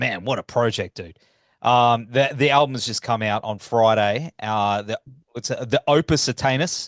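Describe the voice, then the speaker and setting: A man with a slight Australian accent talks at medium pitch and a moderate pace, with ordinary pitch variation. The recording is dry and close with no echo, and the background is quiet. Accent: slight Australian twang. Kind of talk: casual, chatty.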